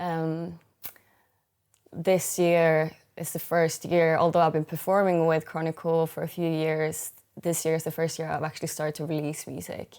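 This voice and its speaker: Speaking in a Swedish accent, a woman keeps a moderate pace and a fairly low pitch. Her intonation is monotone and flat, on a very clean recording with a silent background. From Sweden. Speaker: singer-songwriter. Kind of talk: interview. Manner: halting.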